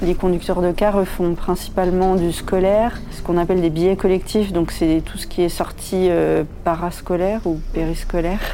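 A woman's fairly low, monotone voice with flat intonation, at a moderate pace with hardly any pauses, amid audible room echo and noticeable background noise. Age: 20s. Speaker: bus driver. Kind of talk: interview.

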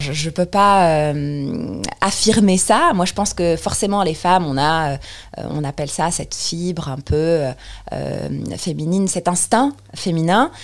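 Over noticeable background noise, a woman with a fairly low pitch talks at a very slow pace with ordinary pitch variation. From Tunisia, Tunis. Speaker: software presales consultant. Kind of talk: interview testimony. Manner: hesitant, with many fillers.

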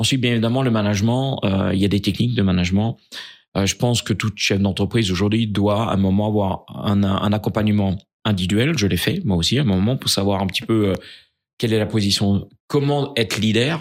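The speech moves at a fairly quick pace with ordinary pitch variation and very even loudness. It's a very clean recording with a silent background. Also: man, fairly low pitch for a man. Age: 60s. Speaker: business leader. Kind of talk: interview. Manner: halting.

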